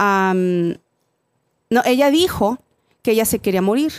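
A woman with a Mexican accent speaks at a fairly slow pace and a fairly high pitch. The sound is dry and close, with no echo. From Mexico. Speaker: podcast guest. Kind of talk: casual chat.

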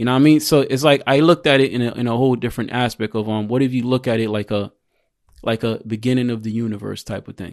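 In a New York accent, a man talks at a very fast pace with fairly even intonation, the sound dry and close with no echo. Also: medium pitch for a man. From Queens, New York (born in Jamaica). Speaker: registered nurse and military veteran. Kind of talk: casual chat.

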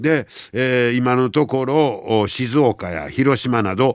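This is a man speaking at a medium pitch. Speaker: radio host. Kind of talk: casual radio talk.

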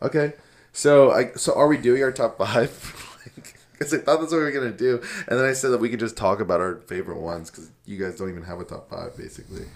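A man at medium pitch talks at a very fast pace with vocal fry, lively intonation and big swings in loudness. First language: Moroccan Arabic. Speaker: podcast co-host. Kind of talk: casual, heavy use of "like".

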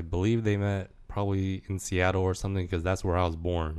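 A man with an American accent speaks in a very deep, low pitch and a monotone, flat intonation on a very clean recording with a silent background. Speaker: DJ. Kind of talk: casual chat.

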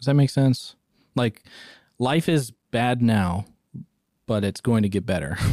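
A man with a dark, mellow tone and lively intonation leaves long, frequent pauses on a very clean recording with a silent background and a dry, close sound with no echo. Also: medium pitch for a man, fairly slow pace. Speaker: podcast co-host. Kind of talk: casual chat.

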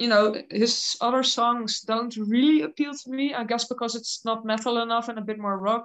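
A woman speaks with a Dutch accent at a fairly high pitch and a moderate pace. Her intonation is fairly even, and the background is quiet. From Netherlands. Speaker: heavy metal singer. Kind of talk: casual interview.

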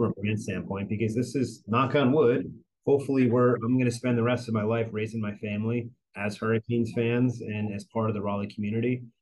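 Talking fairly quickly in an ordinary speaking voice, a man with an American accent keeps medium pitch and fairly even intonation. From northern New Jersey. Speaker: sports marketing executive. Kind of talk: interview.

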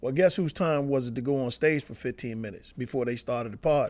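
An unremarkable speaking voice at a fairly quick pace, on a very clean recording with a silent background. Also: man. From Washington DC area and northern Virginia. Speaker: stand-up comedian. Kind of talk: casual interview.

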